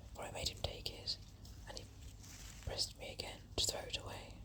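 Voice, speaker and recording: Over noticeable background noise, a woman whispers at a moderate pace. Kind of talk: whispered story reading. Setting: outdoors while walking in woods. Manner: whispered, soft, relaxing.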